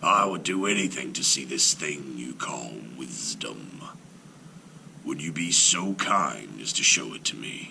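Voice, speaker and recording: A man uses a put-on character voice that is growling and raspy, with a very deep, low pitch. He speaks at a fairly slow pace over clear background noise. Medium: read story. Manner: courteous, sly.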